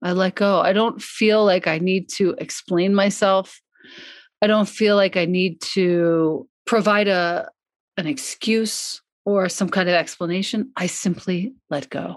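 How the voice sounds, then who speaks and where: Against a quiet background, a woman with an unremarkable speaking voice talks fairly slowly at medium pitch with fairly even intonation. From US, Long Island, New York. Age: 50s. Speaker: yoga and meditation teacher, author. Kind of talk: casual interview chat.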